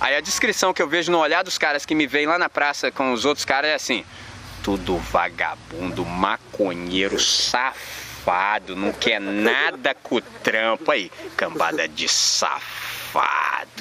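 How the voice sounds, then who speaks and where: A man talks fairly slowly in an animated tone, his pitch swinging very widely while his loudness stays very even. Noticeable background noise runs underneath. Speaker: urban missionary and skateboarder. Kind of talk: sermon-style talk to a young audience. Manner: animated, slangy.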